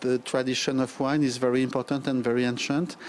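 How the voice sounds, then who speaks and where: A man talks with a French accent at a medium pitch. There is light background noise. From France. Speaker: diplomat. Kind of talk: interview. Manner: halting, many fillers. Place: hall. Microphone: handheld.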